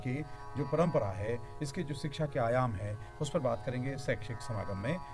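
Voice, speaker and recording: A man talks at a medium pitch while music plays in the background. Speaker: radio host. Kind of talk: radio programme host introduction.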